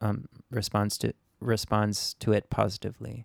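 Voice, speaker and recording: A man with an American accent, fairly low in pitch, monotone and flat in intonation, at a moderate pace, with a dry, close sound and no echo. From Japan, Tokyo international school community. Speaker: singer-songwriter. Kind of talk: interview.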